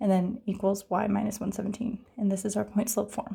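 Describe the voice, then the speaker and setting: A woman's dark, mellow tone with vocal fry, fairly even intonation and a moderate pace. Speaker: math tutor. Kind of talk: tutorial.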